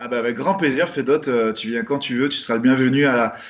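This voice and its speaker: His intonation stays fairly even. The man speaks at a moderate pace. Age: 30s. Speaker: rugby player, team captain. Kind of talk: interview. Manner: hesitant, many fillers.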